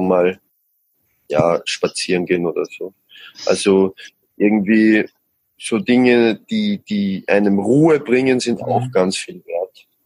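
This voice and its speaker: Dry and close with no echo, a man speaks at a very slow pace with long, frequent pauses. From Austria. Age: 20s. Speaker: musician. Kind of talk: interview. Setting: podcast.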